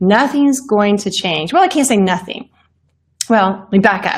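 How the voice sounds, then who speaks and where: A woman's animated, somewhat breathy voice with ordinary pitch variation. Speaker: life and business coach. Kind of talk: unscripted Facebook livestream talk. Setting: Facebook live stream.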